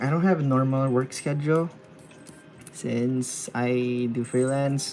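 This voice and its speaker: Music in the background behind soft-spoken, very slow speech. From Philippines. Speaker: freelance illustrator streaming live drawing. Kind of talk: casual live-stream chat while drawing. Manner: quiet, soft-spoken; halting, repeats words.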